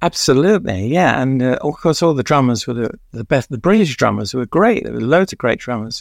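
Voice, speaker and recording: In a London accent, a man with a medium pitch talks at a fairly quick pace with hardly any pauses, his pitch swinging very widely. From East London. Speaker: music journalist and author. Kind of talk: interview, reminiscing.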